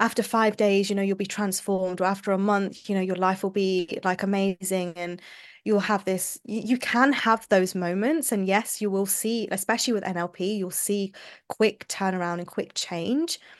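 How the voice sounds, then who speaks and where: A woman with a London accent at a moderate pace, fairly even intonation, quiet background. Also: medium pitch for a woman. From London, England. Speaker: somatic mindset coach. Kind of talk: podcast interview.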